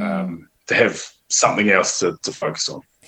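A man talks with a New Zealand accent. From New Zealand (Northland, near Whangarei). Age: 30s. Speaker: professional rugby player and café owner. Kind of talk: interview. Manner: halting, with repeated words and fillers.

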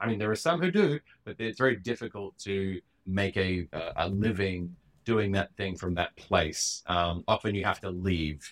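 A man with an Australian accent and a fairly low-pitched voice talks at a moderate pace with ordinary pitch variation, the sound dry and close with no echo. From Western Australia, Perth. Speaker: cartoonist and comedian. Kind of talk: casual chat.

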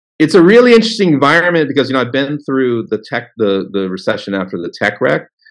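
Lively intonation marks a man's speech in an American accent. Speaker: crypto trading analyst. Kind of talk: interview. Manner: halting.

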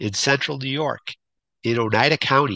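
Vocal fry runs through a bright, sharp tone. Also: man.

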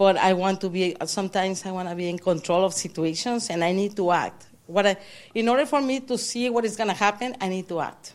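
Her pace is fairly quick, in an ordinary speaking voice. The woman's pitch is medium, with ordinary variation. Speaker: audience member. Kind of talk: casual conversation. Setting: church.

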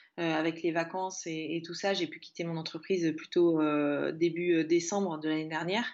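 Her pitch sits fairly low for a woman, and her intonation is monotone and flat. She speaks at a moderate pace. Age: 30s. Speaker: freelance social media manager and podcaster. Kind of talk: casual interview.

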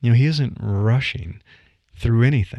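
The voice is a man's, at a medium pitch. It sounds somewhat breathy. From US Midwest. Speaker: podcaster and career newsletter writer. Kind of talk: solo podcast monologue. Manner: conversational, with laughs and fillers.

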